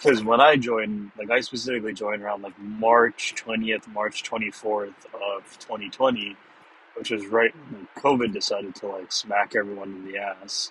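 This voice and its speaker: Over noticeable background noise, a man talks at a moderate pace with a fairly low pitch. His intonation is fairly even, while his loudness swings widely. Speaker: podcast host. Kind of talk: casual solo monologue. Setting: recording while driving to work.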